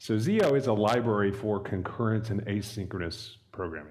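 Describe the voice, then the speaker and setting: A man's fairly low voice comes with audible echo from the room. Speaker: software library developer, conference speaker. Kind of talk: technical talk. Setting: stage with audience at meetup.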